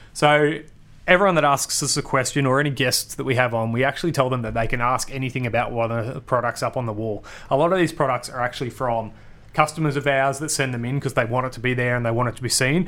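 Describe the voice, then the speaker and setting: A man with an Australian accent, medium pitch and a very fast pace. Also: ordinary pitch variation. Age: 30s. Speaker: marketing podcast host. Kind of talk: solo podcast Q&A. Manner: casual, energetic.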